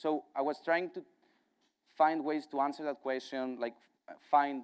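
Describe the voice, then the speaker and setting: A man's fairly high voice with a strong Greek accent, flat monotone intonation and big swings in loudness. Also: moderate pace. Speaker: partnerships director at a software company. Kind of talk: conference talk. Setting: stage with audience at a conference.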